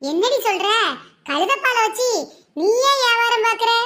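Squeaky and extremely high-pitched, a woman puts on a cartoonish character voice at a fairly slow pace. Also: ordinary pitch variation.

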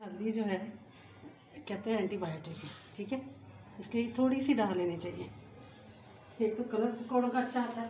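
A woman's medium-pitched, slightly mellow voice at a moderate pace, with ordinary pitch variation and audible room echo.

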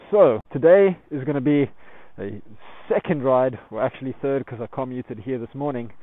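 At a moderate pace, a man speaks with ordinary pitch variation, in a dry recording with no echo. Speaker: motorcycle vlogger. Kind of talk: casual vlog chat. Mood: relaxed and upbeat. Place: open country. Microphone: phone near.

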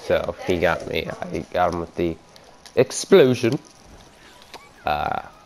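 A man's very slow speech with long, frequent pauses and noticeable background noise. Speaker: gaming YouTuber. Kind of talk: gameplay commentary. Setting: home recording, gameplay voiceover. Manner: casual, rambling with fillers.

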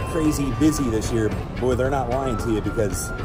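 A man talks at a moderate pace over loud background music. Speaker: travel vlogger. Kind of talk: casual vlog chat. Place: street. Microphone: phone near.

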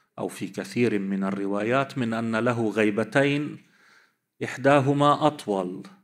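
A man with a plain, everyday voice, medium pitch and ordinary pitch variation, at a fairly slow pace against a quiet background. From Lebanon. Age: 50s. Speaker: cleric and seminary teacher; seminary teacher. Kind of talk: religious lecture. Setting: conference with audience. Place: hall. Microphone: podium.

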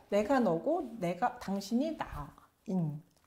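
A woman is speaking. Her pitch swings very widely. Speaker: professor. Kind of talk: lecture. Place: studio.

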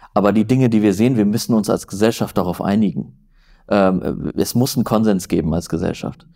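A man speaks in a fairly low, dark and mellow voice with ordinary pitch variation. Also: quiet background. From northern Germany, near Flensburg; Germany. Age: 30s. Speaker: journalist; journalist guest. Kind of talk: interview conversation. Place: home room. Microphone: lapel.

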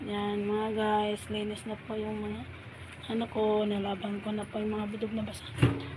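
There is audible room echo and noticeable background noise. A woman speaks through it at a moderate pace. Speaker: vlogger and food vendor. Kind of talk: casual vlog narration.

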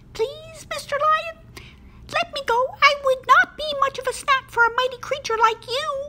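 A cartoonish character voice that sounds female hits an extremely high pitch at a moderate pace, with clear background noise behind it. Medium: puppet.

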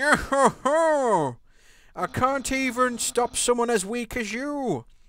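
In a put-on character voice pitched fairly high, someone talks at a very slow pace on a very clean recording with a silent background. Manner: goofy, taunting.

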